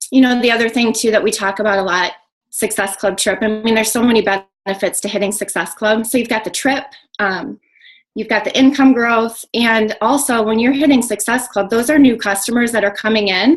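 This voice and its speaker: A woman with a fairly high pitch talks at a fairly quick pace, her intonation fairly even. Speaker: network marketing coach. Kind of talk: webinar talk. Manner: fast.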